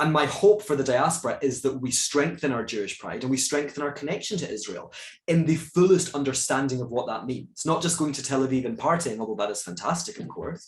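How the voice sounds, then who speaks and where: A man with a Scottish accent speaks fairly quickly and somewhat breathily, with lively intonation and hardly any pauses. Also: fairly high pitch for a man. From Scotland. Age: 30s. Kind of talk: moderated talk Q&A. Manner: animated.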